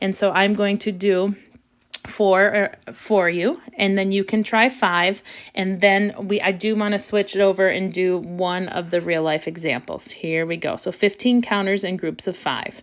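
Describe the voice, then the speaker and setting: A woman's plain, everyday voice, medium in pitch, with fairly even intonation and a fairly slow pace. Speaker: elementary school teacher. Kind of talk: math tutorial video.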